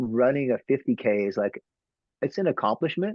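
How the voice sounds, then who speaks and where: Speaking with a Texan accent, a man moves at a fairly quick pace through very wide pitch swings. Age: 50s. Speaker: trail runner. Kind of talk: interview. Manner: halting.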